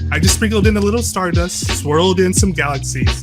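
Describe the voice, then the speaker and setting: Lively in intonation and fairly quick in pace, a man speaks with music in the background. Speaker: spoken word poet. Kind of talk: poetry reading.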